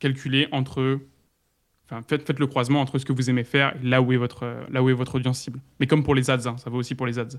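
A man's medium-pitched, monotone, flat delivery at a very fast pace, in a very clean recording with a silent background. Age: 20s. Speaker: content creator and ghostwriter. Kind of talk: interview.

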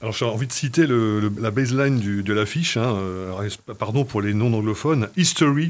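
At a medium pitch, a man speaks at a moderate pace with lively intonation. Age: 50s. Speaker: TV series critic. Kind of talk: casual chat. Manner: animated.

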